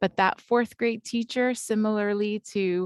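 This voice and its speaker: A woman with a non-native accent speaks at a fairly slow pace, with a dry, close sound and no echo against a quiet background. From another country, not US. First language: not English. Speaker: early childhood education trainer. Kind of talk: personal story in training session.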